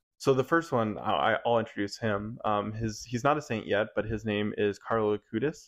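Man with an unremarkable speaking voice, fairly low in pitch, with ordinary pitch variation. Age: 20s. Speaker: youth minister. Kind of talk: casual chat.

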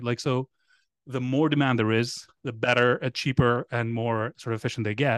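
A man speaks with a Greek accent at a fairly quick pace. The sound is dry and close with no echo, over a quiet background. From Greece. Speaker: startup founder and independent researcher. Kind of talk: casual podcast interview.

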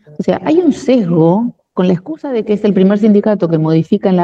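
With lively intonation, a woman with an ordinary speaking voice talks at a fairly quick pace and a medium pitch. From Argentina, La Plata. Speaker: union leader and administrative worker. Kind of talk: interview.

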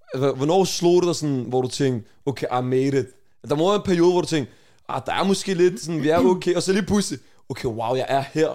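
Fairly high for a man yet dark and mellow in tone, this voice moves at a fairly quick pace with ordinary pitch variation. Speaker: podcast host. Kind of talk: casual chat.

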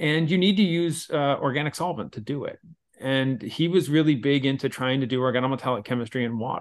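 An ordinary speaking voice from a man, fairly high-pitched, with ordinary pitch variation and a fairly quick pace. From Pennsylvania, Philadelphia area. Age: 40s. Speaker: chemistry professor. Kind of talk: casual interview.

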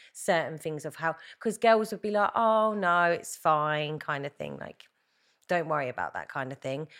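A woman with a fairly low pitch, a southern English accent, lively intonation and big swings in loudness, in a very clean recording with a silent background. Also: moderate pace. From England, Hertfordshire. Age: 30s. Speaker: reality TV winner. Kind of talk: casual chat.

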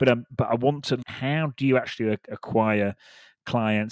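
A man with a British accent speaks at a moderate pace with fairly even intonation, on a very clean recording with a silent background and a dry, close sound with no echo. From United Kingdom. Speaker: podcast host, recruiter. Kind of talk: casual interview chat.

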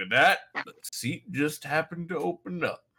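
A gruff put-on character voice from a man, high in pitch, at a moderate pace. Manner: mock-paternal.

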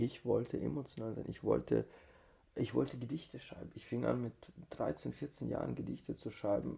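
Very wide pitch swings and vocal fry from a man with a dark, mellow tone. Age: 30s. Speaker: tantra teacher. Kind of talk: casual chat.

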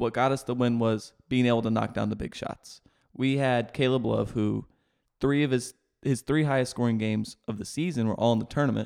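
Here is an ordinary speaking voice at a fairly quick pace with fairly even intonation, on a very clean recording with a silent background. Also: man, medium pitch for a man. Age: 20s. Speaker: sports podcast co-host. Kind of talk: casual sports chat.

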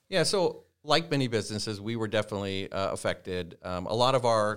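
A man with a Midwestern US accent, on a very clean recording with a silent background. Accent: US Midwest. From Nebraska, Norfolk. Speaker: company CEO. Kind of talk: interview.

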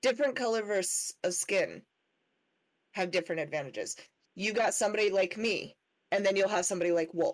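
A woman with an American accent, medium pitch and ordinary pitch variation, very even loudness, and long, frequent pauses. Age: 20s. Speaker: podcast co-host, parent. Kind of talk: casual chat.

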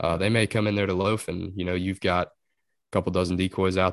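In a Texas Gulf Coast accent, a man speaks with very deep, low pitch and monotone, flat intonation against a quiet background. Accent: Texan Gulf Coast American. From southeast Texas. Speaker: duck hunter. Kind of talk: casual chat.

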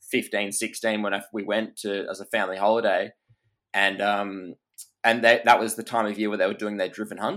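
On a very clean recording with a silent background, a man with an Australian accent speaks fairly quickly in a fairly low pitch, his intonation monotone and flat. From Perth, Western Australia. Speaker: hunter and content creator. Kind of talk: casual chat.

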